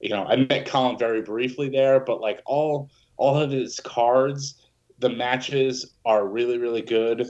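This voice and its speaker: A man with an unremarkable speaking voice talks at a fairly slow pace, his medium pitch held in fairly even intonation. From New Jersey. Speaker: musician. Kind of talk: casual chat.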